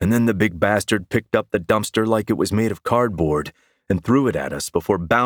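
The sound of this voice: An unforced reading voice comes through with ordinary pitch variation. The background is quiet.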